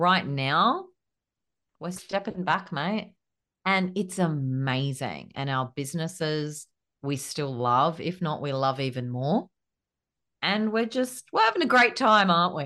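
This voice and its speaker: A woman with an Australian accent has a fairly low pitch and a bright, sharp tone. She speaks at a fairly slow pace with very wide pitch swings against a quiet background. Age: 30s. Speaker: business coach and podcast co-host. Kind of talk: casual chat.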